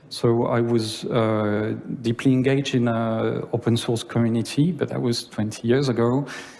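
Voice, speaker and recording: A man in a French accent, with audible room echo. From France. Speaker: conference speaker. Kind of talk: conference talk. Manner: halting.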